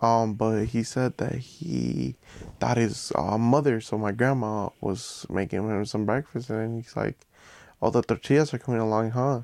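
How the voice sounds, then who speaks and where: The man has a normal speaking voice, pitched in the middle range and moving at a moderate pace, his pitch varying in an ordinary way, the sound dry and close with no echo. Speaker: podcast guest. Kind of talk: casual chat.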